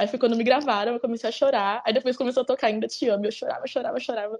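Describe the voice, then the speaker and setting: A woman's high-pitched voice at a very fast pace. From Brazil, Campinas (São Paulo state interior). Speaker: music fan. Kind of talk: casual interview chat.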